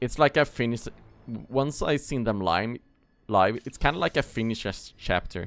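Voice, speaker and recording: With a Swedish accent, a man speaks at medium pitch and a moderate pace with lively intonation, in a dry, close sound with no echo and music playing behind him. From Sweden. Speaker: gaming streamer. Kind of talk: casual live stream chat.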